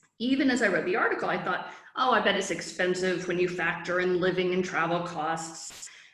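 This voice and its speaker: There is noticeable background noise behind this woman. Her voice sits at a medium pitch with ordinary pitch variation. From US Midwest, Chicago. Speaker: founder of a study-abroad resource. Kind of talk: presentation. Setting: online virtual summit. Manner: fast.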